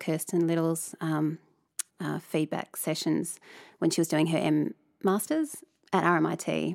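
A woman talks at a moderate pace with an Australian accent. The recording is very clean, with a silent background. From Tasmania, Australia. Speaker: artist and lecturer. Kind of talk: interview. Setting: studio.

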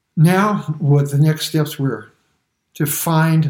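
A somewhat breathy man with an American accent, fairly high in pitch, at a very slow pace. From US, Brooklyn, New York. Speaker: church member giving testimony. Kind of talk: testimony.

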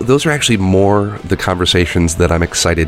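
Music plays in the background behind a voice with a Midwestern accent. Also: man. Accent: American (Midwest). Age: 30s. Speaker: games journalist. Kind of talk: interview.

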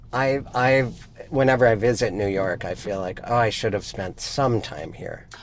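Speaking at a moderate pace, a man with an American accent uses an ordinary speaking voice at a medium pitch with ordinary pitch variation. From Montana (Missoula). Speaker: podcast co-host. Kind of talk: casual chat. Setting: in a car.

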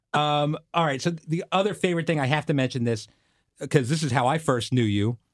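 A fairly high-pitched man at a fairly quick pace, a normal speaking voice with ordinary pitch variation, over a quiet background. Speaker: television producer hosting a podcast. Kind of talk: interview.

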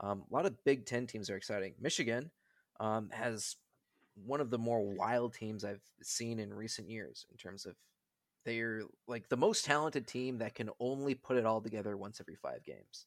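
A man with an American accent and an unremarkable speaking voice speaks at medium pitch with ordinary pitch variation and big swings in loudness, on a very clean recording with a silent background. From Wisconsin, Milwaukee. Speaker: hockey podcast guest. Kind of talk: casual chat.

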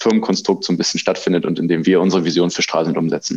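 The man's voice has a very deep, low pitch. He talks at a very fast pace. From Thuringia, Weimar. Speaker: event manager. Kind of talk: interview. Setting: studio. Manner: hesitant, many filler sounds.

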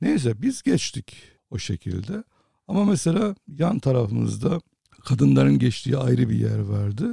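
A man at a fairly slow pace, in a dry, close sound with no echo. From Cyprus. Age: 60s. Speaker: photojournalist. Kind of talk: interview.

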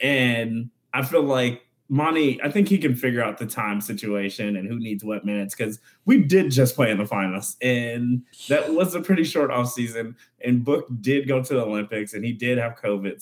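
At a moderate pace, a man with an American accent speaks in a plain, everyday voice of medium pitch, with ordinary pitch variation. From Phoenix, Arizona. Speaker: writer and former comedian. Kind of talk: casual sports chat.

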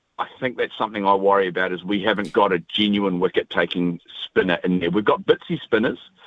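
A man's very fast speech with a New Zealand accent, hardly any pauses and fairly even intonation. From New Zealand, Taranaki. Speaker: radio caller, cricket fan. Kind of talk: casual chat. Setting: phone call.

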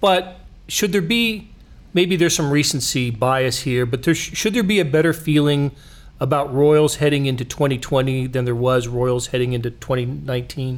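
At a fairly slow pace, a man with an American accent and a plain, everyday voice speaks at fairly high pitch with ordinary pitch variation. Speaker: podcast host. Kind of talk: sports podcast discussion.

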